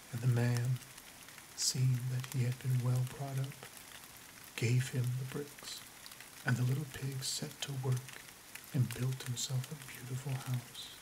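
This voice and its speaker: Noticeable background noise runs under the recording. The speaker talks at a fairly slow pace in a soothing tone, with long, frequent pauses. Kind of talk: bedtime story reading aloud, ASMR. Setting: quiet recording with rain and thunder sounds in background. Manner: soft-spoken, slow and soothing.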